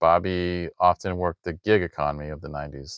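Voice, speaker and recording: A man's very deep, low voice, dry and close with no echo, on a very clean recording with a silent background. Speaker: true crime podcast host. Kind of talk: podcast narration reading prepared script. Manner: hesitant with filler ums.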